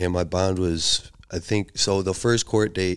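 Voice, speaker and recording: In a Chicago accent, a man talks with a very deep, low pitch and a monotone, flat intonation on a very clean recording with a silent background. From US Midwest (Chicago area, Illinois). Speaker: former drug trafficker telling his story. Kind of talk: casual conversational storytelling. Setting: in-person podcast recording.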